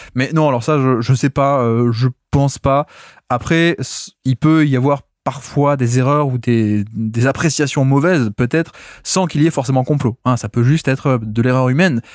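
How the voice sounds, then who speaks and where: In a southern French accent, a man at medium pitch talks at a moderate pace with fairly even intonation and very even loudness, the sound dry and close with no echo on a very clean recording over a silent background. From southern France. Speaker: basketball podcaster. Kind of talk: solo podcast analysis. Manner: hesitant, many filler sounds.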